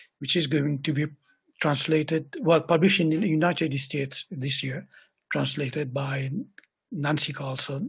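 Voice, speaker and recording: The man's voice is somewhat breathy and fairly high in pitch, with fairly even intonation. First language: Creole. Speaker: poet. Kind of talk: interview conversation.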